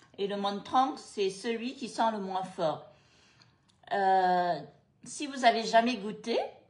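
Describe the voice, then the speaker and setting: Speech comes at a very slow pace with long, frequent pauses, and audible room echo fills the space. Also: woman, ordinary pitch variation. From Cambodia, moved to France at 13. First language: Khmer (speaking French). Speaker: food and travel vlogger. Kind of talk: casual chat. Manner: hesitant, many fillers.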